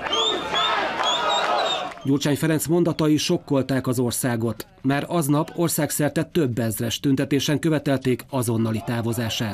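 Speech comes at a fairly slow pace with hardly any pauses, very even loudness and ordinary pitch variation, over noticeable background noise. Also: man, fairly high pitch for a man. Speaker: news reporter. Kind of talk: scripted news narration.

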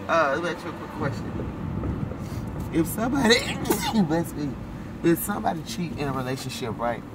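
A woman speaks at a medium speed while heavy noise fills the background. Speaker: vlogger and self-styled prophetess. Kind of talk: casual vlog chat. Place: car. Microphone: phone near.

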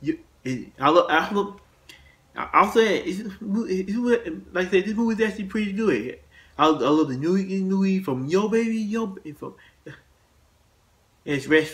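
A man talks fairly slowly in a high pitch, with ordinary pitch variation. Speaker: movie reviewer / video host. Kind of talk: casual monologue review. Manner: halting, many repetitions.

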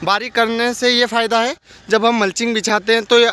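A man speaks at a high pitch and a moderate pace. His intonation is fairly even, and the sound is dry with no echo. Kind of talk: tutorial. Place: open country. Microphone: phone near.

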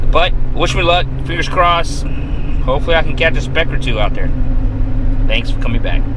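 Loud background noise surrounds a fairly quick pace of speech, and the sound is dry with no echo. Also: man. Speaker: fishing vlogger. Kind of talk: casual vlog chat. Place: car. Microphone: phone near.

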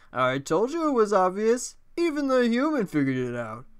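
Putting on a character voice, a man swings his pitch very widely at a moderate pace. The recording is very clean, with a silent background. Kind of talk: game show host patter. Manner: flamboyant, theatrical, campy.

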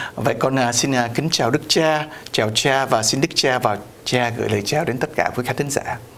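Keeping a very even loudness, a man talks at a moderate pace with ordinary pitch variation. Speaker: priest and TV host. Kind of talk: interview on community news show. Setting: video studio. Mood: warm, cheerful. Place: studio. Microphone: lapel.

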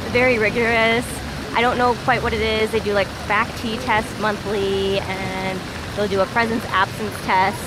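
A woman speaks at a fairly slow pace over loud background noise, in a dry sound with no echo. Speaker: travel vlogger. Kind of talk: casual vlog chat. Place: street. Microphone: phone near.

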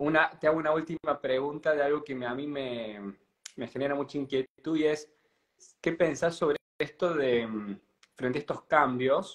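Against a quiet background, a man talks at a moderate pace in an unremarkable speaking voice, fairly high in pitch with fairly even intonation. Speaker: painter and interviewer; interviewer. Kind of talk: casual interview. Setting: live stream. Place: home room. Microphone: video call.

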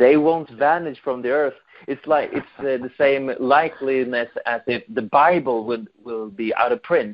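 A man with a Swedish accent and ordinary pitch variation. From Sweden. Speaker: fan film director; fan film creator, guest. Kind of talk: interview. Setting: phone call. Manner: halting. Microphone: video call.

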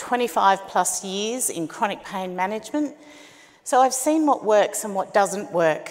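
At a fairly slow pace, a woman talks with an Australian accent. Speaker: startup founder. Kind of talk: pitch presentation. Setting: stage with audience. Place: stage.

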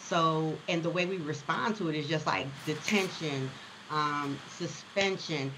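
Amid noticeable background noise and audible room echo, a woman with an American accent speaks at a fairly slow pace in a very deep, low pitch with ordinary pitch variation. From Chicago. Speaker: education consultant and CEO. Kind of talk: casual interview.

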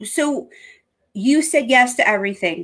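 A woman's high voice at a fairly slow pace with very wide pitch swings, over a quiet background. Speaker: online show host. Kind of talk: casual chat. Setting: video call. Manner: animated. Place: home room.

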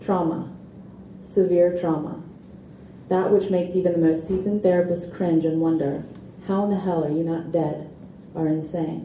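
A woman talks in a monotone, flat intonation at a fairly low pitch, with long, frequent pauses. The room echo is audible, and light background noise sits behind her. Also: moderate pace. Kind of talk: reading aloud from her book. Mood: earnest, emotional personal testimony. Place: shop. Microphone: podium.

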